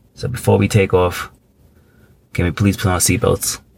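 Against crowd noise in the background, a man talks at a medium pitch. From Thailand. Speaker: podcast co-host. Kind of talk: casual chat.

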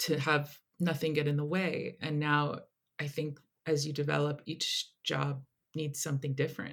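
With an American accent and a very deep, low pitch, a woman speaks at a fairly slow pace. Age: 30s. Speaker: film director. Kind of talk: interview.

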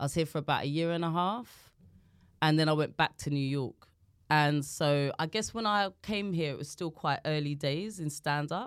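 The speaker has a South London accent. Pitch varies in an ordinary way. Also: woman, very deep, low pitch for a woman, moderate pace. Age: 40s. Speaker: comedian. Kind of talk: casual chat.

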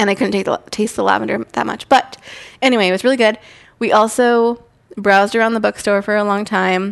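A woman's unremarkable speaking voice, medium in pitch, at a fairly quick pace with fairly even intonation over a quiet background. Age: 30s. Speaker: podcast co-host. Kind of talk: casual chat.

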